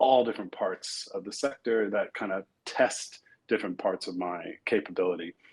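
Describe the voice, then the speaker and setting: At a fairly slow pace, a man with an American accent speaks at medium pitch with ordinary pitch variation. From New York area, US. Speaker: corporate executive. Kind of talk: interview conversation. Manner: hesitant with many fillers.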